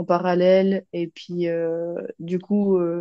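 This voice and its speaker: Against a quiet background, a woman speaks with a fairly low pitch, a dark, mellow tone and monotone, flat intonation. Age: 20s. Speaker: medical student and coaching client. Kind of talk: testimonial interview. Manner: hesitant, many fillers.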